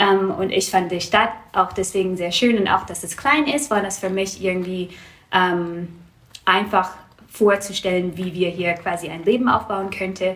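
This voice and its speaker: A woman's medium-pitched voice in an English accent, fairly slow, with ordinary pitch variation and big swings in loudness, against noticeable background noise. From Canada, Vancouver. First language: English (speaking German). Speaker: small business owner, wool seller. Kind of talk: interview. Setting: at guest's home. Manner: halting, many fillers.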